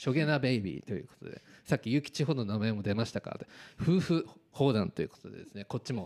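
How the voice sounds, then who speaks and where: A man speaks at a very fast pace with lively intonation. The sound is dry and close, with no echo. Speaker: amateur gossip radio DJ. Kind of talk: casual radio talk show. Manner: stumbling over words.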